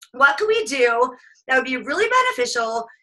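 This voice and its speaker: In a raised, projected voice, a woman speaks at a high pitch with a bright, sharp tone. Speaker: business coach. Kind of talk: live webinar coaching session. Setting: group call. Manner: fast; animated.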